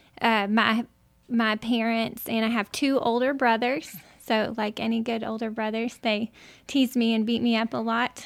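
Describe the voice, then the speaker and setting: Over a silent background in a very clean recording, a woman speaks at a moderate pace. Her pitch is fairly high and her intonation monotone and flat. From Arkansas (Greenbrier). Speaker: school alum and parent. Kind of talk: interview.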